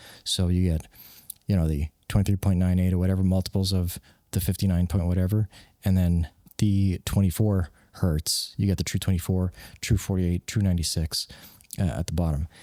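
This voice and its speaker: Soft-spoken and very deep, a man talks at a fairly quick pace in a dark, mellow tone with monotone, flat intonation, the sound dry and close with no echo. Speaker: software developer and hobby wedding videographer. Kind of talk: casual vlog talk. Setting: home workspace at night. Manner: hushed, soft-spoken; halting with fillers.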